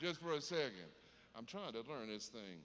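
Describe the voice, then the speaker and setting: A man with a Southern US accent, a bright, sharp tone and very wide pitch swings. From US South. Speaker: comedian. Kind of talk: stand-up. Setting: stage with audience.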